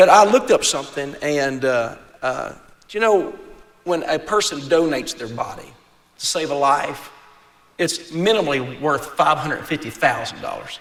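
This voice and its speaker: Over noticeable background noise, a man with a West Virginia accent speaks at a moderate pace with a fairly high pitch and lively intonation. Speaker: event emcee. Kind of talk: speech at a gala event. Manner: halting, repeats words.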